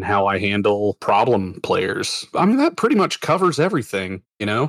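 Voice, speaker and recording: With an ordinary speaking voice, a man talks at a moderate pace and a fairly low pitch. The sound is dry and close with no echo. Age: 30s. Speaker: game master, former Marine. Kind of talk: interview. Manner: casual, filler-heavy.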